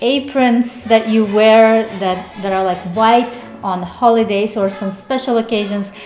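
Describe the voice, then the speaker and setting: A woman at a fairly high pitch and fairly slow pace, with fairly even intonation, audible room echo and music in the background. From Uzbekistan. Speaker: vlogger. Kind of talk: casual vlog monologue.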